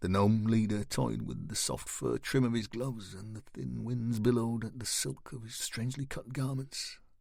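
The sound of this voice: Reading in an unforced voice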